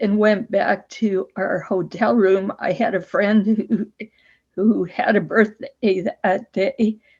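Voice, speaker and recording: The voice is somewhat breathy. It moves at a very slow pace with fairly even intonation. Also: woman. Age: 70s. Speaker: person with spasmodic dysphonia. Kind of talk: testimony.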